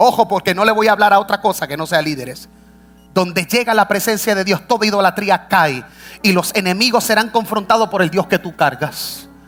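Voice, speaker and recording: With a bright, sharp tone, a man talks in an animated way at a fairly quick pace, his voice high with ordinary pitch variation. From United States. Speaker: pastor. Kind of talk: sermon. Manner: animated, exclamatory preaching.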